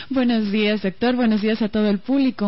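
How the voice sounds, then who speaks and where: Talking at a very fast pace, a woman speaks with a coastal Ecuadorian accent. Her voice is somewhat breathy. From Ecuador, Guayaquil (coast). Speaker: radio broadcaster. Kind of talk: radio interview.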